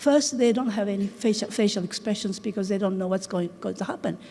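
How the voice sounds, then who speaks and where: The voice has a Japanese accent and fairly even intonation. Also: woman. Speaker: English teacher and researcher. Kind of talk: conference talk. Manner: halting.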